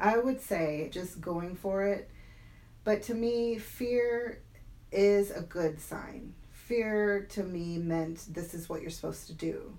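With a dark, mellow tone and ordinary pitch variation, a woman speaks amid audible room echo. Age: 40s. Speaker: stroke survivor and fitness coach. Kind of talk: interview storytelling. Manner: animated.

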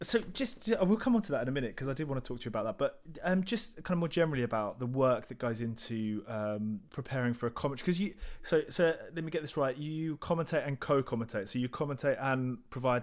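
A very fast male voice in a British accent, lively in intonation, on a very clean recording with a silent background. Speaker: podcast host. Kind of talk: casual interview.

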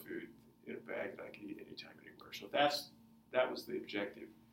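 Fairly quick male speech with audible room echo. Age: 50s. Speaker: food company founder and runner. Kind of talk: interview.

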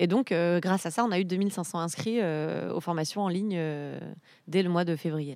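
At a moderate pace, a woman of fairly low pitch with a plain, everyday voice speaks with ordinary pitch variation on a very clean recording with a silent background. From eastern France, Ain. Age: 30s. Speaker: civic organizer. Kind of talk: interview.

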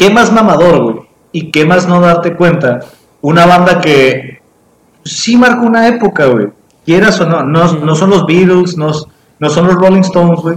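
The man's voice sits high in pitch, with ordinary pitch variation. He speaks at a fairly slow pace. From Mexico. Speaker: podcast co-host. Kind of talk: casual chat. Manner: animated.

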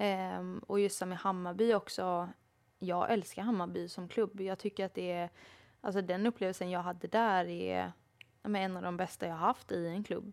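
A woman has an unremarkable speaking voice with fairly even intonation at a moderate pace. It comes through in a very clean recording with a silent background. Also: medium pitch for a woman. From Sweden, Småland. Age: 30s. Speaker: professional footballer. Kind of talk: interview. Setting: studio.

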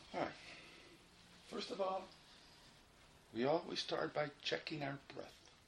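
Over noticeable background noise, a man with a fairly high pitch talks in a soothing, calm tone. He goes at a fairly slow pace, with long, frequent pauses. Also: ordinary pitch variation. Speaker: meditation guide. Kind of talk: guided meditation. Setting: informal group session with audience. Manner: slow, soothing, repetitive; calm, instructive.

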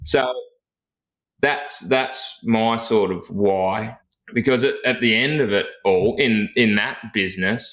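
The speaker talks at a very slow pace in a rural Australian accent. Loudness stays very even, and pitch variation is ordinary. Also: man, medium pitch for a man. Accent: broad rural Australian. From rural Victoria, Australia. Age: 30s. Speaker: firefighter recruitment coach and podcast host. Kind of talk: interview, casual chat.

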